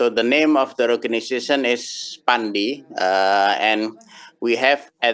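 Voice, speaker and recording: There's a man speaking at a very slow pace, with a quiet background. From Indonesia. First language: Indonesian (speaking Russian). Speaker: domain registry representative; conference presenter. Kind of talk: conference talk. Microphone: video call.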